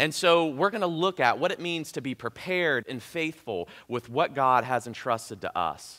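Against a quiet background, a man with a southern Ohio accent speaks at a fairly high pitch, his tone bright and sharp and his intonation lively. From US Midwest (southern Ohio). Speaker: pastor; preacher. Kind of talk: sermon. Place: church. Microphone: headset.

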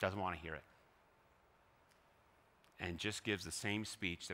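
A man speaks fairly quickly in a very deep, low voice with a bright, sharp tone and flat, monotone intonation. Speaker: pastor delivering a sermon. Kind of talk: sermon preached to a congregation. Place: church. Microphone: headset.

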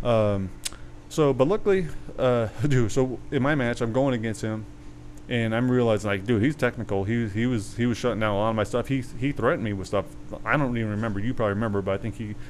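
The speech moves at a very fast pace with ordinary pitch variation. Light background noise can be heard. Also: man. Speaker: podcast co-host. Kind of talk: casual podcast storytelling. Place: garden. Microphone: studio mic.

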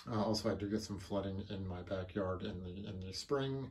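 His tone dark and mellow, a man speaks with fairly even intonation. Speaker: home user reviewing a pump. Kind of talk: casual product review. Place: home room. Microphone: phone near.

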